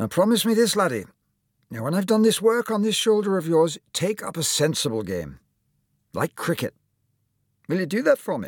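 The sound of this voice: A man uses a put-on character voice, pitched high with big pitch swings and a slightly husky edge, at a moderate pace with long, frequent pauses. The sound is dry and close with no echo, and the recording is very clean with a silent background.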